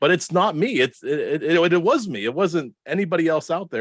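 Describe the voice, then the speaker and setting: Speaking at a fairly quick pace, a man with a Pittsburgh accent uses a fairly high pitch. His voice has vocal fry and very wide pitch swings. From Pittsburgh, Pennsylvania, US. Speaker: marketing director and podcaster. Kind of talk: podcast interview. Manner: runs words together.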